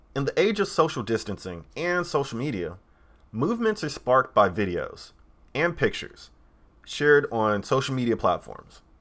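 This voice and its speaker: A man talks at a fairly high pitch and a moderate pace, with vocal fry and very wide pitch swings. The recording is very clean, with a silent background. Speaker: podcaster and AR developer. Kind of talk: solo podcast monologue. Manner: casual, many fillers.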